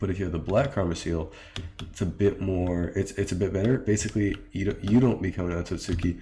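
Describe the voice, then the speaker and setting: A man with a very deep, low voice speaks at a very fast pace with fairly even intonation. His tone is dark and mellow, and somewhat breathy. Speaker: game mod developer. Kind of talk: tutorial. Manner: hesitant, many fillers.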